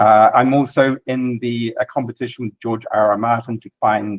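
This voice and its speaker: The speaker is a man. He has a New Zealand accent. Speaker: software developer and imaging scientist. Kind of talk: technical presentation. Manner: casual with filler words.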